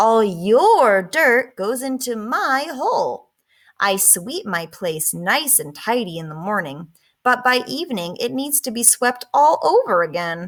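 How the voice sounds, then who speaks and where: Pitched fairly high, a woman puts on a character voice. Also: fairly slow pace. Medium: read story.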